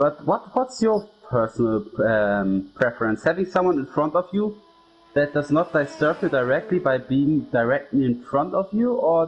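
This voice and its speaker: Music plays in the background as a man speaks with a German accent at a moderate pace. His fairly high voice makes very wide pitch swings. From Germany. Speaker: sim racing commentator. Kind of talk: live commentary.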